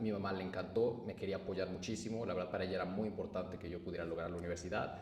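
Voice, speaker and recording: A man talks very fast in a Mexican accent, his pitch fairly low and his intonation fairly even. Noticeable background noise and audible room echo come through. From Mexico. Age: 20s. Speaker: entrepreneur. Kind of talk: personal storytelling. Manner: casual.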